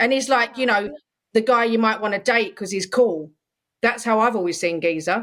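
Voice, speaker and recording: With a London accent, a woman talks at a moderate pace in a fairly high pitch with ordinary pitch variation. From London, England. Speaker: podcast co-host. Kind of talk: casual chat. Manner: animated.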